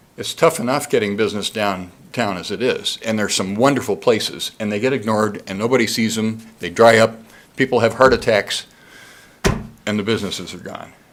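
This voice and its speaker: The man speaks at a fairly quick pace. His pitch is medium. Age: 60s. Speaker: public commenter, downtown business owner. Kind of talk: public comment at city council meeting. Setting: city council chamber. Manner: animated.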